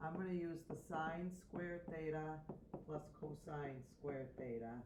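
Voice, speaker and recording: With audible room echo, a woman speaks in a very deep, low pitch and ordinary pitch variation. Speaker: math teacher. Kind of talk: tutorial.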